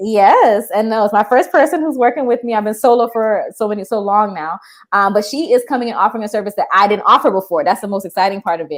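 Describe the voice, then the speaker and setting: Animated in tone, a woman with an American accent speaks very fast at a fairly high pitch, with hardly any pauses. The recording is very clean, with a silent background. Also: ordinary pitch variation. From South Florida, Miami, Haitian American. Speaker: therapist. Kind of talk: interview.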